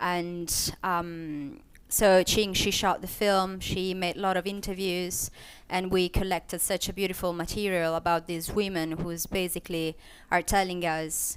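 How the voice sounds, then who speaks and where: A woman's fairly low, flat monotone in a non-native accent, at a fairly slow pace, on a very clean recording with a silent background. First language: not English. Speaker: filmmaker. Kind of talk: panel discussion. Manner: halting, many fillers and restarts.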